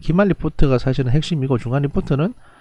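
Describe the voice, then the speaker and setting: At a fairly quick clip, the delivery carries a dark, mellow tone. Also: man. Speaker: professor. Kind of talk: lecture. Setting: recorded online lecture. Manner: fast; halting.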